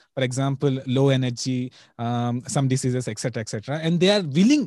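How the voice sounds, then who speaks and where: Here a man with a Telugu accent has a fairly high pitch and a dark, mellow tone. The background is quiet. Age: 20s. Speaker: diet content creator and exam student. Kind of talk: interview.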